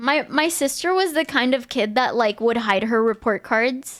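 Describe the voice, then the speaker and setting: A woman with a Spanish accent speaks at a fairly slow pace on a very clean recording with a silent background. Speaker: streamer. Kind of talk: casual chat.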